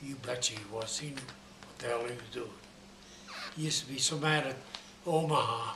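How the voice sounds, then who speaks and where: A man at a moderate pace with fairly even intonation, over noticeable background noise. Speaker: WWII US Navy veteran. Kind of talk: interview answer.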